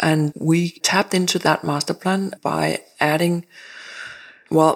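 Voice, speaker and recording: A woman with a Danish accent talks at a fairly low pitch in a flat monotone. The recording is very clean, with a silent background. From Denmark. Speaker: architect. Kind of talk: interview. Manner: halting.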